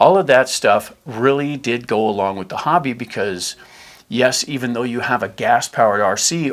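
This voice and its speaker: Medium in pitch with ordinary pitch variation, a man talks in an unremarkable speaking voice on a very clean recording with a silent background. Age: 60s. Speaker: RC hobby channel host. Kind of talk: tutorial. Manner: casual.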